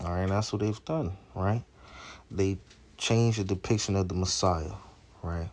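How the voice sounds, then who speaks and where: Somewhat breathy, a man's voice sits at a very deep, low pitch. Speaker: street preacher. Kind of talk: religious teaching video. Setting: outdoors, walking in Jerusalem. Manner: slow, deliberate; repetitive stammering.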